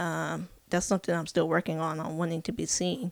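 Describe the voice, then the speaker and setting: In a very clean recording with a silent background, a woman with an American accent speaks at a moderate pace, her fairly low voice showing vocal fry and fairly even intonation. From California. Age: 30s. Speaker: podcast host, mental health activist. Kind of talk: personal storytelling monologue. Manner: hesitant, many fillers.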